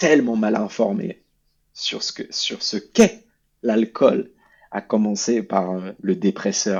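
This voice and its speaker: Fairly low in pitch, a man speaks at a fairly slow pace with fairly even intonation. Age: 30s. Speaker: former alcoholic, charity president. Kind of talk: testimony. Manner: halting, many fillers.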